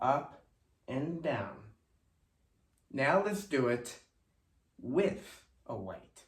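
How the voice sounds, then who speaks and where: Audible room echo surrounds a man speaking at a very slow pace. His voice is somewhat breathy, with lively intonation. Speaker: fitness instructor. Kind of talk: tutorial.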